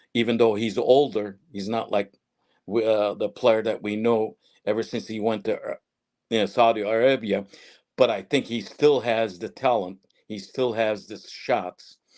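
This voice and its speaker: A man with an ordinary speaking voice, medium pitch, fairly even intonation, and a moderate pace. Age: 60s. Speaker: retired football journalist and pundit. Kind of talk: live podcast interview.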